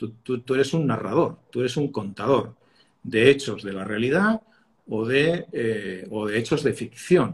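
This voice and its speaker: Somewhat breathy, a man speaks at a fairly slow pace and medium pitch with lively intonation. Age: 60s. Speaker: communication expert, former broadcast journalist. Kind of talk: interview. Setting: video call. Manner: halting, with frequent repetitions and fillers.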